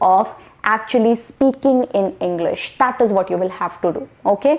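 Noticeable background noise sits behind a woman with a fairly high voice. She speaks at a moderate pace with ordinary pitch variation. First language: not English. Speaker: online English communication coach. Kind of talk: tutorial. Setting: solo video to camera. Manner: fluent, without pauses.

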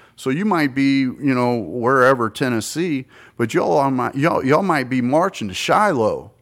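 A man with a plain, everyday voice and an American accent speaks at medium pitch and moderate pace with lively intonation. The recording is very clean, the background silent. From US South. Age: 50s. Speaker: podcast guest. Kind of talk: casual chat. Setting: bar.

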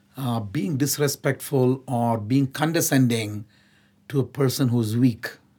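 A man speaks at a medium pitch and a fairly slow pace, his tone dark, mellow and somewhat breathy. His intonation stays fairly even, and the recording is very clean with a silent background. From India, Nagpur. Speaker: nonprofit chief executive. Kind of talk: interview.

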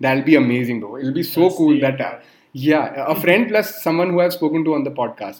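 Over noticeable background noise, the man keeps up a fairly quick speed. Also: fairly high pitch for a man. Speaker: podcast host. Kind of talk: casual chat. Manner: animated.

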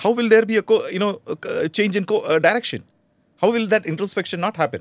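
Speaking very fast in a high voice, a man is heard in a very clean recording against a silent background. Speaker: retired army officer and cyber security expert. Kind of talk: interview.

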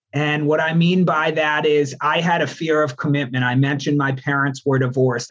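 A man with a New York accent talks at a fairly quick pace, his pitch fairly high and his loudness very even. His intonation is flat and monotone, and he hardly pauses at all. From New York state, Albany. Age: 30s. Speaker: student and coach trainee. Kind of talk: interview, reflective personal story.

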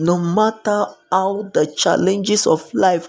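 At a very slow pace, a man speaks with a high pitch. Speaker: preacher. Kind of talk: devotional sermon. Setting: live stream.

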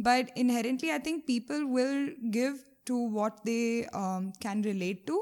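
At a fairly slow pace, a woman speaks with a high pitch and lively intonation. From India, Mumbai. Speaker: animal welfare charity founder. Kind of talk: interview conversation.

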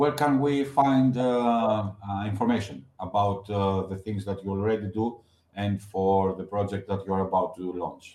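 A plain, everyday voice with ordinary pitch variation moves at a fairly slow pace on a very clean recording with a silent background. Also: man, fairly low pitch for a man. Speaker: podcast host. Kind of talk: interview, moderated questions.

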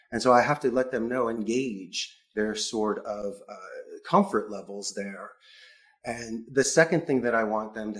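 A man with an American accent has a plain, everyday voice at a medium pitch. He talks at a fairly slow pace. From Philadelphia, US. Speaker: call center CEO. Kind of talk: interview conversation.

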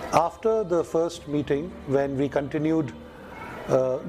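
Music plays behind a man with a fairly high pitch. His pitch varies in an ordinary way. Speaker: priest and school principal. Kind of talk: recorded interview clip. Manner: thoughtful, formal.

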